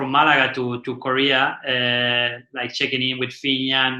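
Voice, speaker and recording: Speaking with an Argentinian accent, a man has a bright, sharp tone and a medium pitch. His pace is fairly slow. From Argentina. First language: Spanish. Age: 40s. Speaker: windsurfing champion and class manager. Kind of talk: podcast interview. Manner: halting, many fillers and repetitions.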